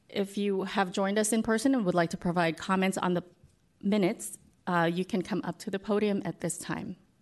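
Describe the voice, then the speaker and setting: A woman with an ordinary speaking voice talks at a medium pitch and a fairly quick pace. Her intonation is fairly even, and the background is quiet. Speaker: commission secretary. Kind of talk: formal procedural reading.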